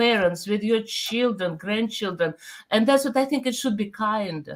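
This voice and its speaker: A woman speaks with a Russian accent at a fairly high pitch. Her pitch variation is ordinary. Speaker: pastor. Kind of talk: casual chat.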